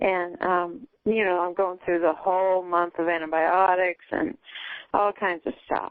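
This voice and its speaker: At a fairly slow pace, a woman uses a normal speaking voice at medium pitch with fairly even intonation. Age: 60s. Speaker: caller seeking a psychic reading. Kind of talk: casual chat.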